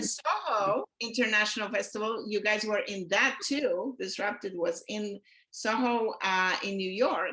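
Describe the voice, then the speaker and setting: A woman with an ordinary speaking voice talks at a fairly slow pace, fairly high in pitch, with ordinary pitch variation. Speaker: podcast host, realtor. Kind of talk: interviewer talk.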